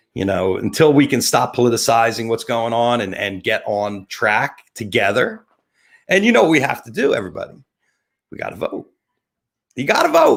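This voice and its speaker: In a New Jersey accent, a man talks at a fairly quick pace. His tone is animated, with very wide pitch swings. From New Jersey (Atlantic City). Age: 50s. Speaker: talk show host and photographer. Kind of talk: live webcast monologue.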